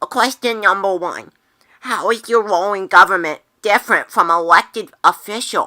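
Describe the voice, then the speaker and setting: A woman performs a put-on character voice at medium pitch and a moderate pace. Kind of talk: amateur skit acting. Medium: comedy sketch. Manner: eager, easily impressed.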